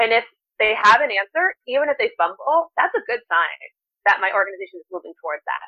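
Very fast and with an American accent, a woman speaks at a fairly high pitch, her voice making very wide pitch swings and big swings in loudness. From US Northeast (New Jersey). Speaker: nonprofit CEO and co-founder. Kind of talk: interview.

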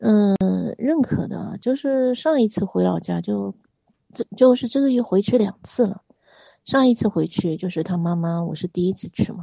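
A woman's voice comes across as somewhat breathy. She talks at a moderate speed, her intonation lively. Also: medium pitch for a woman. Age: 40s. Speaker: caller seeking relationship advice. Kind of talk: phone-in confession. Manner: halting.

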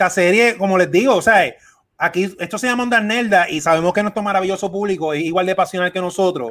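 With a Puerto Rican accent, a man talks at a high pitch with ordinary pitch variation. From Puerto Rico. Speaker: podcast host. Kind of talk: casual chat.

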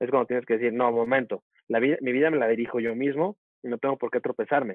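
A very fast pace with fairly even intonation. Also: man. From Mexico, Veracruz port and Tuxtepec, Oaxaca. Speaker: media professional and speaker. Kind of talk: interview conversation.

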